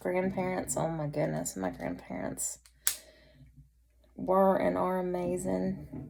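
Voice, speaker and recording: In a Southern US accent, a woman speaks at a very slow pace with long, frequent pauses, and audible room echo fills the space. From North Carolina. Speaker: vlogger. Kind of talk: casual chat.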